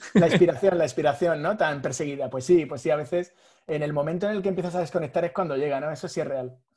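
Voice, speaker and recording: Against a quiet background, a man speaks very fast in a fairly high pitch, his tone dark and mellow and his pitch variation ordinary. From Spain, Madrid. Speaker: graphic designer. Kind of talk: podcast interview.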